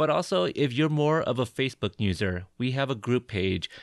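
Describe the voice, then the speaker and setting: Against a quiet background, a man with an American accent and a normal speaking voice talks at medium pitch and a moderate pace, the sound dry and close with no echo. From Portland, Oregon. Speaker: podcast host, army veteran. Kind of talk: casual interview.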